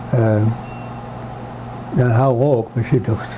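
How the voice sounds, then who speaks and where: Noticeable background noise surrounds a man speaking at a very slow pace. His pitch is medium and his intonation fairly even. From Nova Scotia. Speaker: native speaker interviewee. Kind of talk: interview.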